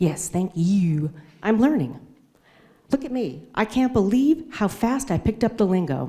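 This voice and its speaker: A somewhat breathy woman with an American accent, a dark, mellow tone, very wide pitch swings and a fairly slow pace. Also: medium pitch for a woman. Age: 50s. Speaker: amateur stand-up comedian. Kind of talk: stand-up. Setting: stage with audience.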